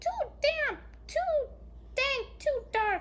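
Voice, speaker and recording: This is a put-on character voice. It sounds squeaky. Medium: read story.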